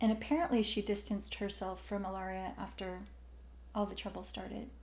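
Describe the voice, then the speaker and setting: A woman with an American accent speaks at a fairly quick pace, with audible room echo. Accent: Southern accent, suppressed. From Alabama, US South. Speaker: podcast co-host. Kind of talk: casual chat.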